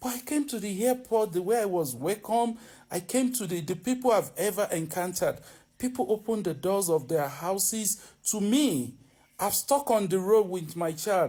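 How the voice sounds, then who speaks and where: With a Nigerian accent, a man speaks at a moderate pace in a high pitch, his tone dark and mellow and his intonation lively, in a very clean recording with a silent background. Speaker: vlogger. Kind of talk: opinion monologue. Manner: animated; halting.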